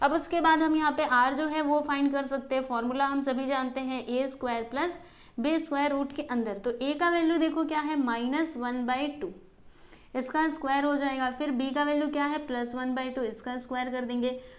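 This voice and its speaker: A woman speaks in a high pitch. Audible room echo is present. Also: fairly even intonation, moderate pace. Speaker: maths teacher. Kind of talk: tutorial. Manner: explanatory, repetitive teacher style.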